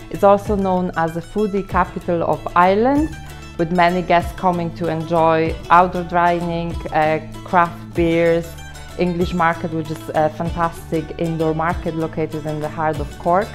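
Faint music plays behind a woman whose fairly low voice keeps a fairly even intonation. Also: moderate pace. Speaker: hotel manager. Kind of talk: interview answer. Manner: hesitant, filler-heavy. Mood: warm, friendly, slightly nervous. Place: hall. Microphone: phone near.

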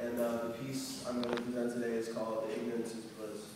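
The speech is fairly quick and monotone, with flat intonation. Strong room echo and noticeable background noise fill the recording. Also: man. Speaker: poet. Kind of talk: introduction to a live audience. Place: hall. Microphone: camera far.

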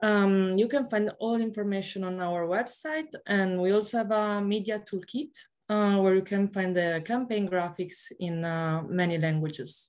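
A woman speaks with a plain, everyday voice at a moderate pace. Her pitch varies in an ordinary way over a quiet background. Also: medium pitch for a woman. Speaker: communications officer. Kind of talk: announcements. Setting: video call. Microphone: video call.

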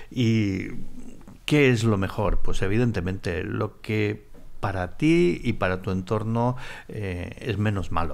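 Speaking at a very slow pace, a man uses a fairly low pitch with ordinary pitch variation. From Spain. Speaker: former paparazzi, tea house owner; podcast guest. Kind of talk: casual interview. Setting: tea house. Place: studio. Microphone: studio mic.

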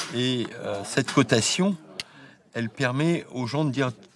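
Noticeable background noise sits under speech with ordinary pitch variation. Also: man. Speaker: auctioneer.

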